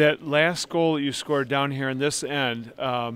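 Clear, smooth and fairly bright, this is a man's voice. His pitch sits at a medium level.

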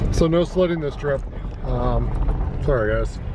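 There is noticeable background noise as a man talks at a fairly quick pace, the sound dry with no echo. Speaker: dog vlogger. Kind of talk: casual vlog chat. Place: car. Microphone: phone near.

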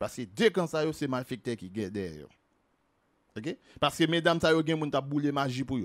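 This man talks fairly slowly with lively intonation on a very clean recording, the background silent. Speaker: video commentator on celebrity gossip. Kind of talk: angry rant, gossip commentary.

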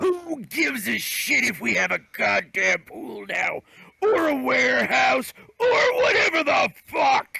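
Shouting at a fairly slow pace, a man hits an extremely high pitch. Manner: angry, shouting, swearing.

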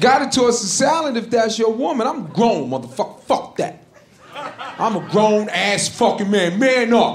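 A man is speaking in a room with audible echo. Light background noise sits behind him. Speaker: stand-up comedian. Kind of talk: stand-up comedy routine. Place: stage. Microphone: handheld.

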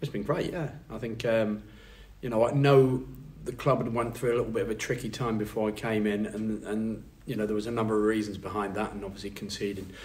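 Somewhat breathy, a man speaks at a very fast pace with fairly even intonation and a fairly low pitch. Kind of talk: interview answer.

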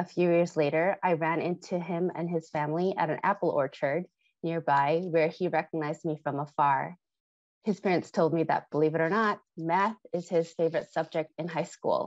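A woman with an American accent and a fairly low pitch speaks at a moderate pace with fairly even intonation, in a dry sound with no echo over a quiet background. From US Midwest. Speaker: former tutor, health equity leader; former tutor. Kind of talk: legislative testimony. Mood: warm, earnest. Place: home room. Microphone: earbuds.

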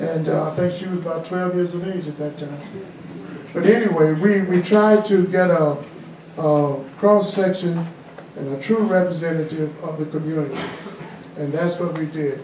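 Moderate pace with long, frequent pauses and fairly even intonation, plus audible room echo and light background noise. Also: man, high pitch for a man. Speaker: guest. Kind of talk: storytelling interview answer. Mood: warm, humorous reminiscing. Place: hall.

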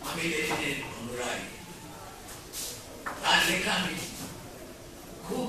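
A man is speaking amid noticeable background noise. Strong room echo fills the space. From West Bengal, India. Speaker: politician and lawyer. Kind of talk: public speech. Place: hall.

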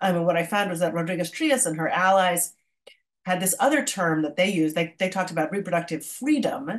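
A woman with a plain, everyday voice speaks at a medium pitch with lively intonation. The background is quiet. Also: fairly quick pace. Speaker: history professor and author. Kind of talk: academic talk. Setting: video call. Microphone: webcam.

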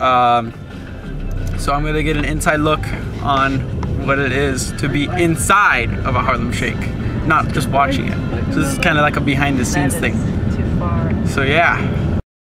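A man's speech with long, frequent pauses, dry with no echo, over loud background music. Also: moderate pace. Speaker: vlogger. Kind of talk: casual vlog chat. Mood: cheerful. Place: car. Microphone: phone near.

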